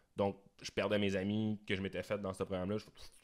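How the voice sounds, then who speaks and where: Against a quiet background, a man with an ordinary speaking voice talks at a fairly low pitch. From Quebec. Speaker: musician and video producer; podcast guest. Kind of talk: casual interview. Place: studio. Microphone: studio mic.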